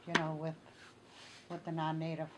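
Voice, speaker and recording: There is noticeable background noise as a woman speaks in a fairly low pitch. She has a Great Lakes accent. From northern Minnesota, Ojibwe community. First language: Ojibwe. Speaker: Ojibwe elder. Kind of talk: oral history interview. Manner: halting, many fillers.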